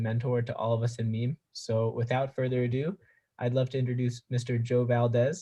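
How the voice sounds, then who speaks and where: A man speaks in a monotone, flat way. His voice is somewhat breathy. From Pennsylvania, US. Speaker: student host. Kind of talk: interview introduction.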